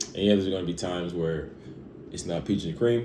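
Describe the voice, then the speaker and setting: This man's very deep, low voice has a dark, mellow tone, with audible echo from the room. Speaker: fitness vlogger. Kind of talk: casual vlog monologue. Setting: at home. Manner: halting, stuttering.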